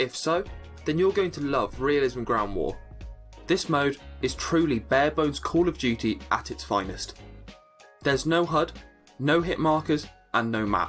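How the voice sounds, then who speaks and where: A man speaks at a moderate pace with long, frequent pauses. Music plays in the background. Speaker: gaming guide creator. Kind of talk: game tutorial narration.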